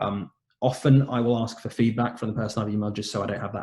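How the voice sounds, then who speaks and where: Somewhat breathy and dark, mellow in tone, a man speaks at a very fast pace with a medium pitch and fairly even intonation. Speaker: doctor presenting webinar talk. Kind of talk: lecture. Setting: online webinar.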